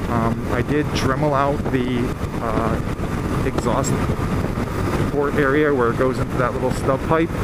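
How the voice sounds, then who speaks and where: Loud noise fills the background while a man is talking. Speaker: motorcycle rider vlogger. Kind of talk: casual vlog chat. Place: motorbike. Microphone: helmet.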